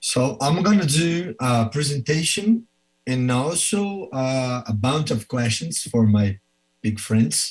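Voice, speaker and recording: Speaking at a very slow pace with a Brazilian Portuguese accent, a man with a medium-pitched, somewhat breathy voice uses lively intonation. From Brazil, Belo Horizonte. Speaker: professor and orthopedic surgeon. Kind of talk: presentation.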